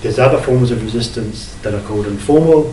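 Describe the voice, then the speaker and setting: A man talks at a medium pitch, with audible room echo and noticeable background noise around him. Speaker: academic researcher. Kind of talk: lecture.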